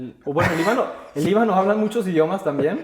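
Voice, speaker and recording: Over noticeable background noise, a man with a Mexican accent speaks at a high pitch with lively intonation. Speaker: podcast host. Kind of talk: interview; casual chat.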